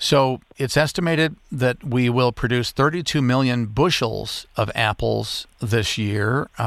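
A man with an American accent speaks very slowly at a medium pitch, with ordinary pitch variation and very even loudness. There are hardly any pauses, and the recording is very clean with a silent background. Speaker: radio travel show host. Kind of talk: radio interview show.

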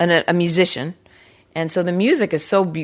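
In a normal speaking voice, a woman talks at a moderate pace and a fairly low pitch. Her intonation is fairly even, and the background is quiet. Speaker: podcast host. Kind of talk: casual interview. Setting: home studio.

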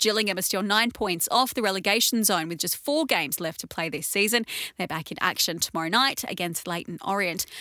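The tone is bright and sharp, with lively intonation at a fairly quick pace. The recording is very clean, with a silent background. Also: woman, medium pitch for a woman. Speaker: news podcast presenter. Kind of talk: news reading.

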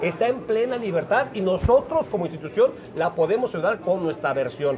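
Noticeable background noise surrounds a man with a Mexican accent, whose high pitch swings very widely. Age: 50s. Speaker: former footballer and sports commentator. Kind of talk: casual chat.

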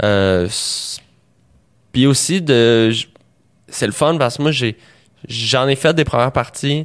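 A man with a medium pitch speaks at a very slow pace, leaving long, frequent pauses, with ordinary pitch variation. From Quebec, Montreal. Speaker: comedian. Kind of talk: casual chat.

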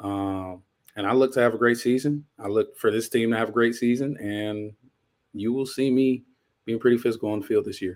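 A man with an American accent has a plain, everyday voice at a medium pitch. He talks at a fairly quick pace with fairly even intonation in a very clean recording with a silent background. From Inglewood, California. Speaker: college football player. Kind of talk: podcast interview.

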